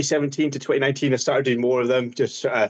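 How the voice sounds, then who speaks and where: A man with a Scottish accent and a fairly high pitch. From Scotland, Highlands. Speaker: obstacle course racer. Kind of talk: interview. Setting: podcast.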